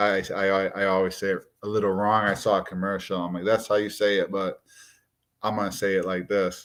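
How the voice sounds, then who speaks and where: In a strong Massachusetts accent, a man speaks at a fairly quick pace with fairly low pitch and monotone, flat intonation against a quiet background. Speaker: watch YouTuber. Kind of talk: live stream casual chat. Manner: casual, conversational.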